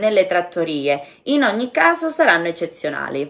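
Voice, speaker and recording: A woman's pitch swings very widely as she keeps a moderate pace. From Calabria, Catanzaro. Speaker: Italian language teacher. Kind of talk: language-learning listening lesson narration.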